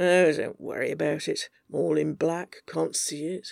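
A raspy, put-on character voice delivers its lines at a moderate pace. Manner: curt, defensive, flustered.

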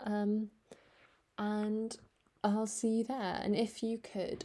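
Her tone is dark and mellow. The woman speaks at a medium pitch and a very slow pace. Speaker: book podcast host. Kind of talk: casual monologue book review. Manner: hesitant, many fillers.

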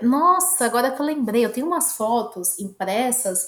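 A woman is speaking. Her intonation is lively. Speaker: podcast co-host. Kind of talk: casual chat. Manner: animated.

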